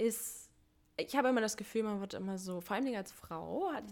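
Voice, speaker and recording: A woman with a plain, everyday voice talks at a fairly quick pace, her medium pitch varying in an ordinary way. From Thuringia, Germany. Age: 20s. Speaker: community initiative organizer, working student. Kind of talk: casual interview chat.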